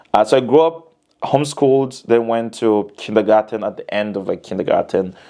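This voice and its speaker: With a Tanzanian accent, a man speaks in a dark, mellow tone at a moderate pace and with fairly even intonation. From Tanzania, Dar es Salaam. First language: Haya. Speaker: musician. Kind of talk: casual chat. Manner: halting.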